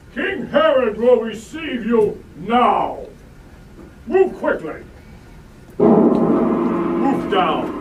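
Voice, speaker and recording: A man's put-on character voice at an extremely high pitch, very slow with long, frequent pauses, over clear background noise with a slight echo. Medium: stage play. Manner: curt, commanding.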